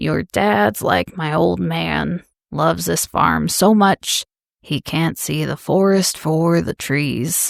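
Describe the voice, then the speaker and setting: A woman does a put-on character voice, very deep and low-pitched and raspy, at a very slow pace. The recording is very clean with a silent background, and the sound is dry and close with no echo. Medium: read story. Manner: warm, unhurried.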